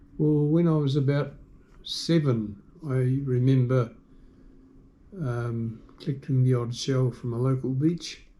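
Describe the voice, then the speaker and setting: A man with a New Zealand accent speaks at a medium pitch in a dark, mellow, somewhat breathy tone with fairly even intonation. His pace is fairly slow, broken by long, frequent pauses. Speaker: shell collector. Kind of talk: interview answer.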